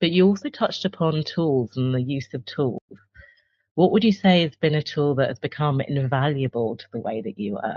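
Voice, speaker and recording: A woman speaks with a southern English accent at a very deep, low pitch. Her intonation is lively, her loudness swings widely, and her pace is moderate. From England, Cambridge. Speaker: career coach and interviewer. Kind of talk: interview.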